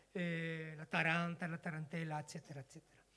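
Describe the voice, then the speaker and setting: A man with a Spanish accent talks at a high pitch. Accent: Spanish accent in Italian. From Spain, Castile (Burgos). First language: Spanish (speaking Italian). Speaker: folk musician. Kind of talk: stage introduction to a performance. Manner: halting.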